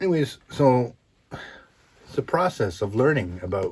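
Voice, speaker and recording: With very wide pitch swings, a man talks in a somewhat breathy voice at a medium pitch. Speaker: podcast host, motivational speaker. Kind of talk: solo podcast monologue. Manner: calm, even.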